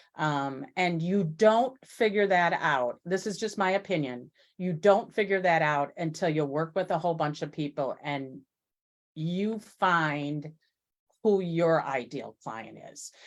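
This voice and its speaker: With an unremarkable speaking voice, a woman talks at a fairly slow pace, her fairly low pitch showing ordinary variation. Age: 60s. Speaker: business owner. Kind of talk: casual chat.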